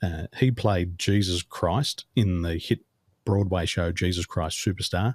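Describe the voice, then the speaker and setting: In a very clean recording with a silent background and a dry, close sound with no echo, a man speaks somewhat breathily at a fairly slow pace, his very deep, low pitch showing ordinary variation. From Australia. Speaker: business coach. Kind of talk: interview conversation. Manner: fluent, few filler words.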